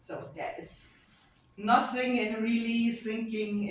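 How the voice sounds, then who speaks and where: Speaking very slowly with a German accent, a woman is heard against audible room echo. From Germany. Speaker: lecturer and AI auditor. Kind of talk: conference talk.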